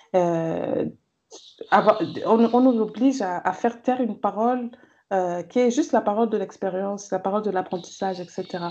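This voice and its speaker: A woman at a fairly high pitch with ordinary pitch variation, speaking at a moderate pace with long, frequent pauses. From Cameroon. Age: 30s. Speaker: gender and development consultant, feminist blogger. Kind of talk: interview conversation.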